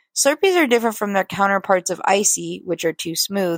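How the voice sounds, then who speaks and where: A woman's ordinary speaking voice at medium pitch, with an American accent and a fairly quick pace, on a very clean recording with a silent background and a dry, close sound with no echo. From California. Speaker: listener contributor. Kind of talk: reading a written story aloud.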